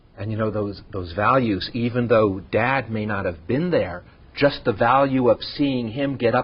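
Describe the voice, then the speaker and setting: A man with a normal speaking voice speaks at a moderate pace, medium in pitch with ordinary pitch variation. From Los Angeles, San Fernando Valley. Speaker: TV interviewer. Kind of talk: interview.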